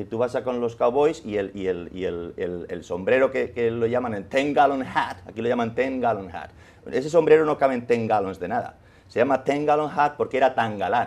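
Speaking with a Madrid accent at a moderate pace, a man shows big swings in loudness. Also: ordinary pitch variation. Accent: Castilian Spanish (Madrid). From Spain, Madrid. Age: 50s. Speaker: journalist and author; journalist. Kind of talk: interview. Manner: animated. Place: studio. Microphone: lapel.

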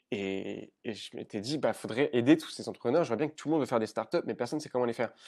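Male speech with ordinary pitch variation, quiet background. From rural Paris region, France. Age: 20s. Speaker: entrepreneur; podcast guest. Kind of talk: casual chat. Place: home room. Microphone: earbuds.

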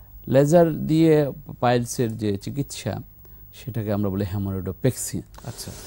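A man speaks at a medium pitch in a dark, mellow tone. His intonation is lively. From Bangladesh. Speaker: surgeon; guest. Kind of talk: studio health talk show interview. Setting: TV studio, live broadcast. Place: studio. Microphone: lapel.

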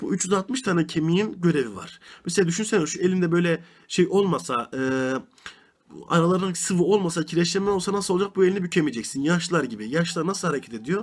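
A man speaks at a very fast pace. His pitch is high, with ordinary variation. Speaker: religious teacher. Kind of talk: religious lesson.

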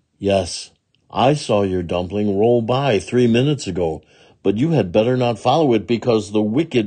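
Quiet background, ordinary pitch variation, and an unforced reading voice

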